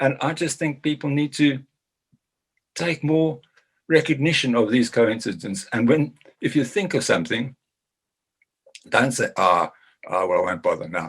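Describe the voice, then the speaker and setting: A man with a fairly high voice and vocal fry swings very widely in pitch, leaving long, frequent pauses. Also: moderate pace. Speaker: business chamber chairman, former agricultural journalist. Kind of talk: short talk.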